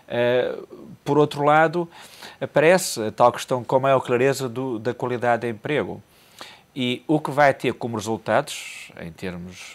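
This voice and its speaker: A male voice at medium pitch with ordinary pitch variation. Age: 50s. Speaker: economic commentator. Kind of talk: TV panel discussion. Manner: halting, with frequent repetitions. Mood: calm analytical. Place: studio. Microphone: lapel.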